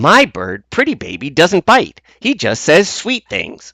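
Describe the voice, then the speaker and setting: A man's put-on character voice, high-pitched, raised and projected, at a fairly slow pace, in a dry, close sound with no echo. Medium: read story.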